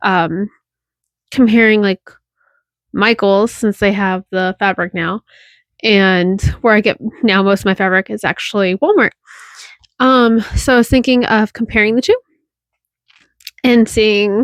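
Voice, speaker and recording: With long, frequent pauses, a woman of medium pitch speaks at a fairly slow pace and with fairly even intonation in a very clean recording against a silent background. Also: dry, close sound with no echo. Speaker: sewing content creator. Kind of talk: casual tutorial vlog.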